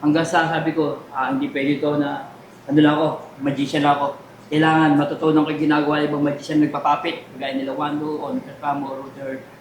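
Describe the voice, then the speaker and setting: A fairly high-pitched man at a fairly quick pace, with audible room echo and noticeable background noise. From Taytay, Rizal, Philippines. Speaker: comedian and magician. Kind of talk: interview.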